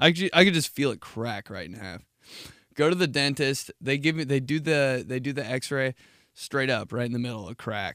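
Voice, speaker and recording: An animated man speaks at a moderate pace with a bright, sharp tone, medium pitch and lively intonation. The recording is very clean, with a silent background. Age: 30s. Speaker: podcast host. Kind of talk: casual chat.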